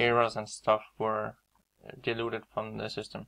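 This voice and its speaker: A man with a Danish accent and monotone, flat intonation. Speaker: trader. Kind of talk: tutorial. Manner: halting.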